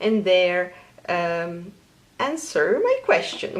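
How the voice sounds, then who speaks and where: A woman with a Polish accent speaks at a very slow pace. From Poland. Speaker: knitting podcaster. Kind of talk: casual vlog.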